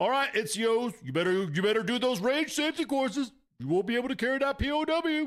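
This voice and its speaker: A man talks very fast in a put-on character voice pitched extremely high. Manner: gruff, barking, commanding.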